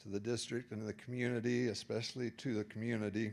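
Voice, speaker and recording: The speaker is a man with an American accent and a fairly low pitch. His intonation is monotone and flat. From Utah. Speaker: public commenter, landlord. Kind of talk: public comment at board meeting. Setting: school board meeting.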